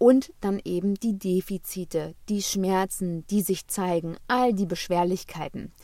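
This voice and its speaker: A woman's voice, medium in pitch with ordinary pitch variation, moves along at a fairly slow pace. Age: 30s. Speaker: podcast host, health coach. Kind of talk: monologue on wellbeing. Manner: warm, animated.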